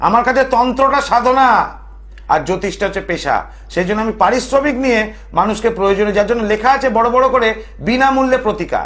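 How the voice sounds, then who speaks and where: Extremely high in pitch, a man's voice moves with ordinary pitch variation. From Kolkata, West Bengal, India. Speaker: TV astrologer and tantric storyteller. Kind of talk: phone-in TV show with religious storytelling.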